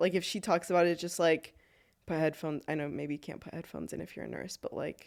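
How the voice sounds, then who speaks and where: Very fast speech with vocal fry and big swings in loudness, on a very clean recording with a silent background. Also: woman. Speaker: nurse, podcast guest. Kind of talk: casual chat. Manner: fast, animated.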